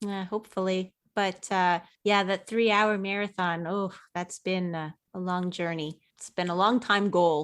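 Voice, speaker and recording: This woman talks at a fairly slow pace with a medium pitch and a monotone, flat delivery. The recording is very clean, with a silent background. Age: young. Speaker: running podcast co-host. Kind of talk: casual chat.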